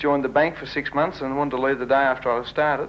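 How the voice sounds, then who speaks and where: Talking at a very fast pace, a man with an Australian accent uses a fairly high pitch and fairly even intonation. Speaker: auctioneer. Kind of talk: interview answer. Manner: joking, self-deprecating.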